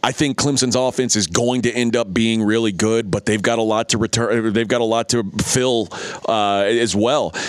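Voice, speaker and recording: A man with an American accent talks at a moderate pace and medium pitch, his intonation fairly even. His loudness stays very even over noticeable background noise. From Texas. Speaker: college football betting expert. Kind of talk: sports radio talk. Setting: studio.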